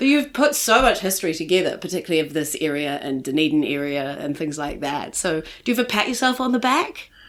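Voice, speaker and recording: A woman with a fairly low pitch speaks at a very fast pace, her voice moving in very wide pitch swings. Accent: New Zealand. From New Zealand, Christchurch. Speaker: podcast host. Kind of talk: scripted intro; podcast interview. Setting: guest's home.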